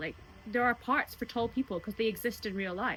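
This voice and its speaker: In a Scottish accent, a woman with an animated tone speaks at a very fast pace, her fairly high pitch showing ordinary pitch variation. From Scotland. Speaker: singer and cruise ship entertainer. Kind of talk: interview answer. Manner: chatty, animated.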